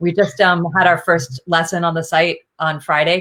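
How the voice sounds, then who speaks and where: A woman talks in a fairly low pitch. Her intonation is monotone and flat. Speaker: jazz vocalist and educator. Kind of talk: interview. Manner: fast.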